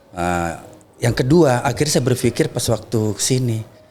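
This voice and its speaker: Lively in intonation, a man speaks at a medium pitch and a moderate pace. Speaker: labor union leader. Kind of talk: podcast interview. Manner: soft-spoken.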